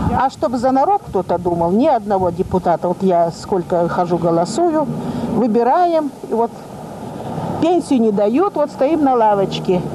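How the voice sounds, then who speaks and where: A woman at a fairly slow pace, her pitch swinging very widely, amid noticeable background noise. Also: fairly high pitch for a woman. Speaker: pensioner selling dairy products. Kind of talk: street interview answer. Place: street. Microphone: handheld.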